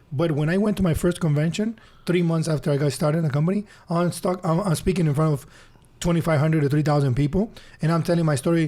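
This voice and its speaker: A man with a Spanish accent, a dark, mellow tone and fairly high pitch, very fast, with very even loudness and fairly even intonation. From Honduras. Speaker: business speaker. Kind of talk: interview testimony. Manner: halting.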